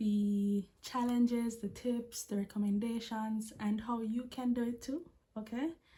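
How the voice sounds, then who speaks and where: A woman's fairly high, somewhat breathy voice, dark and mellow in tone, monotone and flat, at a fairly slow pace. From Jamaica. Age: 20s. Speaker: vlogger, language assistant. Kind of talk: casual vlog talk to camera. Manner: stutters when anxious.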